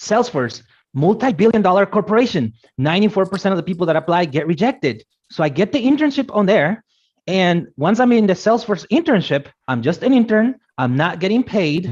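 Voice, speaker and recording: Against a quiet background, a man with a Guatemalan accent talks at a fairly quick pace and a high pitch. His voice makes very wide pitch swings while its loudness stays very even. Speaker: motivational speaker on careers. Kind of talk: motivational talk. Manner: animated.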